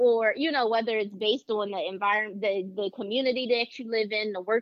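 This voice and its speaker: A woman talks in a Philadelphia accent at a moderate pace. Her pitch is fairly high. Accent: Philadelphia American English. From Philadelphia, US. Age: 30s. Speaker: mental health counselor. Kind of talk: casual chat.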